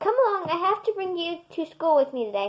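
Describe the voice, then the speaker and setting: A woman puts on a squeaky character voice at an extremely high pitch, swinging very widely up and down at a fairly quick pace. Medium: read story. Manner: bored.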